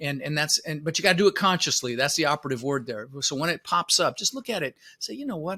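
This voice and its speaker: In an American accent, a man speaks very fast with a fairly high pitch, lively intonation and a bright, sharp tone, in a dry, close sound with no echo. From Netherlands, moved to US (Florida) at six. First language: Dutch. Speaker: real estate investor and motivational speaker. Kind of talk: podcast interview. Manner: animated.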